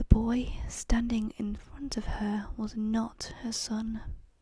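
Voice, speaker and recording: The speaker whispers softly at a very slow pace. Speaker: ASMR content creator. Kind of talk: whispered true crime story reading. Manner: soft-spoken, whispering, relaxing.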